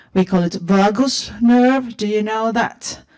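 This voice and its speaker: With a Finnish accent and a dark, mellow tone, the voice goes at a fairly slow pace with ordinary pitch variation. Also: woman. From Finland. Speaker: patient asking question. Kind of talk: audience question. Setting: convention hall with audience. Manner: halting.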